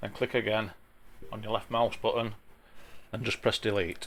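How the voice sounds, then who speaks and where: A man of medium pitch with a strong Yorkshire accent. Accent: broad Yorkshire. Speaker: traffic management CAD plan drafter, YouTuber. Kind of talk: software tutorial. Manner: casual, with frequent hesitations. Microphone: sound issues.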